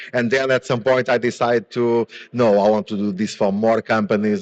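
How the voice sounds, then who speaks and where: A man with a Portuguese accent talks at a moderate pace, in a dry, close sound with no echo. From Portugal. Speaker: business founder and conference speaker. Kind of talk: conference presentation. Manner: hesitant, many fillers and repetitions.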